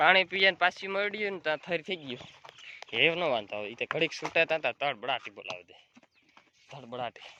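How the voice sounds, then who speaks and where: A man talks in a fairly high voice with lively intonation and big swings in loudness. The sound is dry and close, with no echo. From Gujarat, Saurashtra (Junagadh district). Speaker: dairy farmer vlogger. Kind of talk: casual vlog narration.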